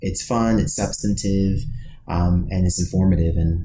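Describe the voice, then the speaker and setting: A man with an American accent and a very deep, low pitch at a moderate pace, amid audible room echo and noticeable background noise. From US Midwest, Dayton Ohio. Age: 30s. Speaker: podcast co-host, music writer. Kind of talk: casual podcast interview.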